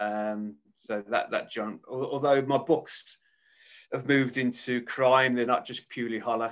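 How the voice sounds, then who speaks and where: Over a quiet background, a man with a Birmingham accent speaks with fairly even intonation. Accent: Birmingham (Brummie). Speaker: author. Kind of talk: casual interview chat.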